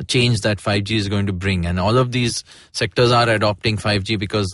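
Over a quiet background, a man with an Indian accent talks at a moderate pace, fairly low in pitch and fairly even in intonation. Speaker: podcast host. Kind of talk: interview.

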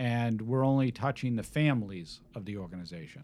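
Medium in pitch, a man talks at a moderate pace in an unremarkable speaking voice. The recording is very clean, with a silent background. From Massachusetts, Needham. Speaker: financial advisor. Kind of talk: casual chat. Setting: studio.

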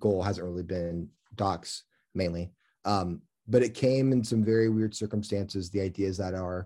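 On a very clean recording with a silent background, a man with an American accent speaks at a moderate pace in a fairly low pitch, his tone dark and mellow and his intonation fairly even. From US Midwest, Kansas City area (Lee's Summit, Blue Springs). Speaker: film director. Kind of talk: interview.

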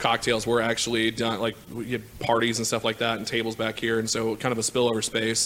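Background noise is noticeable here. The speaker is a man with an American accent. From Kansas City, Missouri. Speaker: director of operations. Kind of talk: casual chat. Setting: studio.

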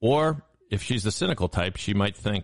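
In a normal speaking voice with lively intonation, a man talks at a moderate pace, the sound dry and close with no echo. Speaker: producer and co-host.

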